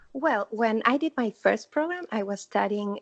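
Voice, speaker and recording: The speaker is a woman with a Spanish accent. She talks at a fairly slow pace. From Argentina. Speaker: former international theme park worker. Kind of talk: casual interview. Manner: halting.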